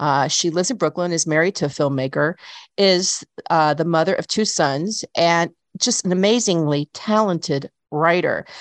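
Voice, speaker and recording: Against a quiet background, a plain, everyday voice moves at a moderate pace with ordinary pitch variation. Loudness stays very even, and the sound is dry and close with no echo. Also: woman, fairly low pitch for a woman. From US South, Chattanooga, Tennessee. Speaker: radio host. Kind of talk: radio interview.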